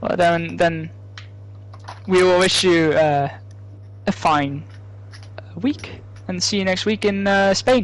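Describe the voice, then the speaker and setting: Delivered at a very slow pace with long, frequent pauses, the speech comes in a Dutch accent over noticeable background noise. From Netherlands, not the south. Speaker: esports race commentator. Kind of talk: live commentary.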